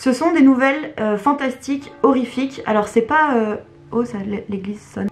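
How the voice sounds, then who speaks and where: A woman speaks with ordinary pitch variation. Music can be heard behind her. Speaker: book YouTuber. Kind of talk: casual video monologue. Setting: at home. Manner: hesitant, many fillers.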